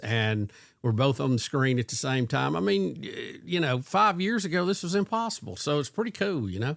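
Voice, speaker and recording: This man has a Southern US accent and a medium pitch. He talks at a fairly quick pace with very wide pitch swings. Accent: Southern American. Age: 60s. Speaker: podcast host. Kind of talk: casual chat. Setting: video call.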